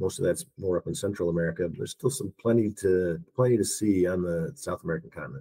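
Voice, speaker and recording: Speaking at a very fast pace with hardly any pauses, a man uses a very deep, low pitch, lively intonation and a dark, mellow tone. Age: 60s. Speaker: retired traveler and hash runner. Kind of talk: podcast interview.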